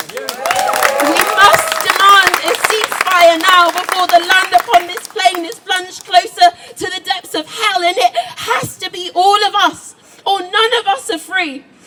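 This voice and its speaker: At an extremely high pitch, a woman's raised, projected voice shows big swings in loudness at a fairly slow pace, over noticeable background noise. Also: ordinary pitch variation. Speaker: spoken word poet. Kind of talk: spoken word poetry performance. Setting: outdoors, live event. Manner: powerful, moving.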